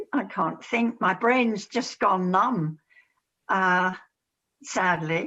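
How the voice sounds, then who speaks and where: At a very slow pace with long, frequent pauses, a woman speaks at medium pitch in a bright, sharp tone with ordinary pitch variation. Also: very even loudness. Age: 80s+. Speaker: explorer of ancient sites. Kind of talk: casual interview.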